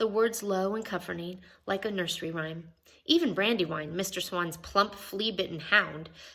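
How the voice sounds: Pitch variation stays ordinary in this natural reading voice.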